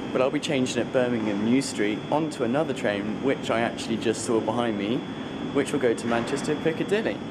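Against loud background noise, a man speaks very fast with ordinary pitch variation. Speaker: traveller vlogger. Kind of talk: casual vlog chat. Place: station. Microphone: phone near.

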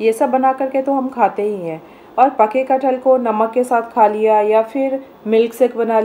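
A woman speaks at a fairly slow pace. Her pitch moves with ordinary variation. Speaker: home cooking channel host. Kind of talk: tutorial. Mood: calm, instructive. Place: kitchen.

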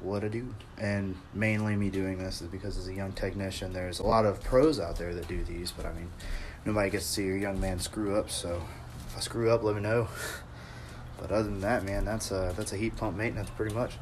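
A man's plain, everyday voice, fairly low in pitch, with a fairly quick pace, fairly even intonation and light background noise. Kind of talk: casual work vlog chat. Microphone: phone near.

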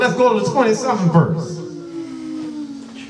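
Audible room echo surrounds a man whose extremely high voice makes very wide pitch swings. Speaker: preacher. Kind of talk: sermon with opening prayer. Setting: church. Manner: fervent, repetitive, exhortative. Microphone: handheld.

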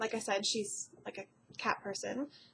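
Somewhat breathy, a woman speaks at a moderate pace with ordinary pitch variation over light background noise. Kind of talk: casual vlog chat. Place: home room. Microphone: webcam.

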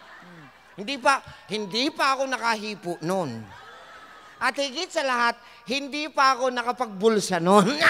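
A man's raised, projected voice at an extremely high pitch, animated in tone with lively intonation, big swings in loudness and long, frequent pauses, over noticeable background noise. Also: moderate pace. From Samar, Philippines. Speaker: health forum speaker. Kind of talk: health seminar talk to live audience. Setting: stage with live audience.

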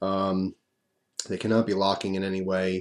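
A man's dark, mellow tone at a fairly low pitch, over a quiet background. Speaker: vlogger. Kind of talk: casual vlog chat. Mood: pleased, light laughs. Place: home room. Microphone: webcam.

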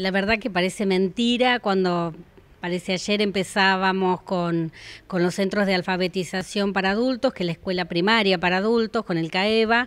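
A woman speaks at a moderate pace, her intonation fairly even. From Argentina. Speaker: adult educator. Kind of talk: interview. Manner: hesitant, with filler 'eh' and repetitions. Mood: warm, earnest, proud. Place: hall. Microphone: handheld.

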